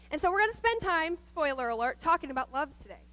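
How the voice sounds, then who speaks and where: Raised and projected, a woman's bright, sharp voice carries a Midwestern American accent with lively intonation and an animated tone. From US Midwest, Nebraska. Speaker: guest speaker at church, nurse. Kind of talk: sermon. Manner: fast.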